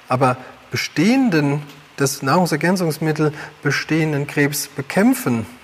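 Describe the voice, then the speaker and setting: The speech goes at a fairly slow pace over noticeable background noise. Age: 40s. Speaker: health educator. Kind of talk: livestream talk.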